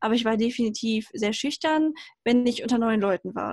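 A somewhat breathy, fairly high-pitched woman at a moderate pace, in a dry, close, very clean recording with no echo and a silent background. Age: 20s. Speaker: mechanical engineer and self-love advocate. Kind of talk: interview.

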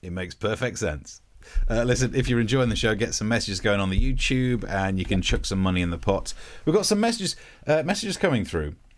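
Very fast speech from a man at medium pitch, with very wide pitch swings and a slight East Midlands accent. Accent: slight East Midlands English, near Yorkshire. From Nottinghamshire, England. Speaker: comedian and podcast host. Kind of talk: casual chat, comedy banter.

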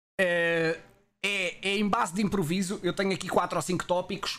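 Music plays in the background as a man speaks. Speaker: Twitch streamer and podcast host. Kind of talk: casual chat. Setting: live stream.

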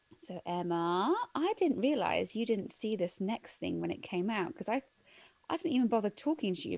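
With an English accent, a woman speaks in a fairly high pitch with very wide swings and a dark, mellow tone. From England. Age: 30s. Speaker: film podcast co-host. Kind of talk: casual chat. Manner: animated.

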